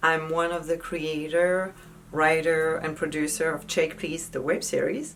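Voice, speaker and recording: A woman with a French accent, fairly low in pitch and at a moderate pace, over noticeable background noise. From France. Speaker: actress. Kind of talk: casual tips talk to camera.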